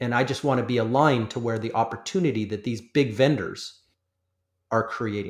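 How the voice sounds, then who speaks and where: Using an ordinary speaking voice, a man with a Canadian accent talks at a fairly quick pace and medium pitch. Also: ordinary pitch variation, very clean recording, silent background. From Canada. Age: 40s. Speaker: industry analyst. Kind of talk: interview.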